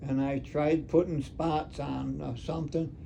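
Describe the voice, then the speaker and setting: A man's fairly high voice at a moderate pace, over noticeable background noise. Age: 80s+. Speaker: retired taxidermist. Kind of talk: conversational explanation. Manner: hesitant, halting.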